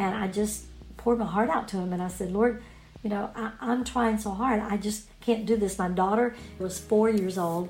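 A woman speaks at a moderate pace, with audible echo from the room. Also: medium pitch for a woman, fairly even intonation. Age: 60s. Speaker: author and former missionary. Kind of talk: personal storytelling.

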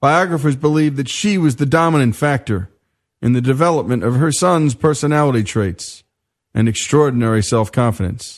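Against a quiet background, an unremarkable speaking voice moves at a moderate pace with lively intonation and very even loudness. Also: man, medium pitch for a man. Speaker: radio show host. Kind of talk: radio storytelling narration.

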